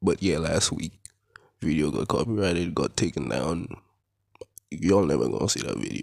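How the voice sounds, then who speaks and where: With very deep, low pitch and vocal fry, a man talks at a moderate pace with lively intonation and long, frequent pauses. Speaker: anime commentary youtuber. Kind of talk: casual commentary.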